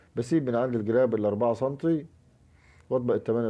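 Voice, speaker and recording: A man with an Egyptian accent talks at a fairly quick pace. His pitch varies in an ordinary way. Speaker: curtain-making and upholstery instructor. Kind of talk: tutorial. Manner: quiet, can't raise voice; halting, many fillers.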